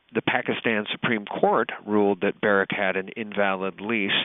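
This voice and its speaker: At a moderate pace, a man talks in a fairly low pitch with a normal speaking voice. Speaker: podcast host. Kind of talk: podcast interview host talk.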